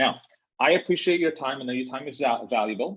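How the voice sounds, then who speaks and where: A man's voice with ordinary pitch variation. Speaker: software co-founder. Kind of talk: webinar presentation. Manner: fast.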